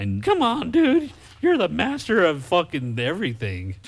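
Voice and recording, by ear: In a put-on character voice, this man pitches his speech high. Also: moderate pace.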